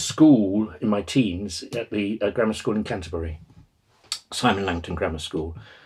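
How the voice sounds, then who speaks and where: A man's fairly low voice with a southern English accent. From southern England (Exeter, then East Kent); southern England. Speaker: retired professor of Buddhist studies. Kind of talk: oral history interview; interview answer. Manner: halting, many fillers and repetitions. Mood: reflective, relaxed reminiscing. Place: home room.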